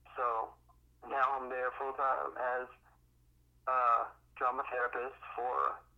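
With an American accent, a man talks at a medium pitch. His delivery is flat and monotone. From Miami, Florida (Miami Gardens). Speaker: actor, playwright and drama therapist. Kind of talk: casual interview.

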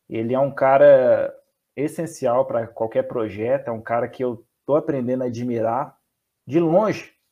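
A man's dark, mellow tone at a moderate pace. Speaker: fan channel host. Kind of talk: casual interview. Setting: live stream. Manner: stammering.

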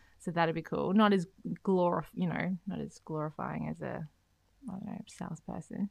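A woman talks at a moderate pace with an Australian accent. Her loudness swings widely. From Australia, Beenleigh, Queensland. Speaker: podcast co-host, property industry expert. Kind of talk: casual chat.

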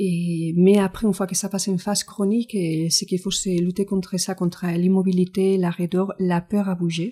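A woman with a Spanish accent speaks at a medium pitch and a moderate pace, somewhat breathy, with a dark, mellow tone. Her intonation is monotone and flat with hardly any pauses, in a very clean recording against a silent background. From Spain. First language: Spanish (speaking French). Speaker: physiotherapist and Pilates teacher. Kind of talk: interview. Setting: studio.

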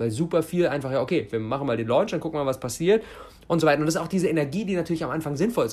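An animated tone from a man with a fairly high pitch. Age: 20s. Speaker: podcast host and mentor. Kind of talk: solo podcast monologue.

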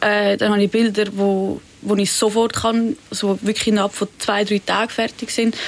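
Amid noticeable background noise, a woman talks in a monotone, flat intonation with very even loudness and hardly any pauses. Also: medium pitch for a woman, moderate pace. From Zurich, Switzerland. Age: young. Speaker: pop-art painter. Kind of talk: interview. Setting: studio.

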